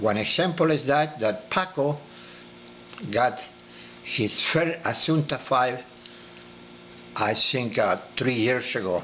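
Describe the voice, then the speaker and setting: A man speaks at a very slow pace with long, frequent pauses and very even loudness. His intonation is lively, with noticeable background noise. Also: medium pitch for a man. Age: 80s+. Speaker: dragon fruit breeder. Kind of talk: informal talk. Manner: halting.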